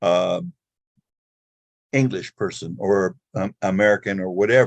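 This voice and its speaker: Recorded dry and close with no echo, a man speaks at a fairly slow pace. His pitch is fairly low, with ordinary pitch variation. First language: not English. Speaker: audience member asking a question. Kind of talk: audience question. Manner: halting, hesitant.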